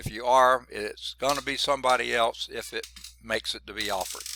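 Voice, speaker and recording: In a Southern US accent, the speech comes through on a very clean recording with a silent background. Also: man. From US South (Georgia). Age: 60s. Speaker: college math instructor. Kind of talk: lecture. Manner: casual, conversational.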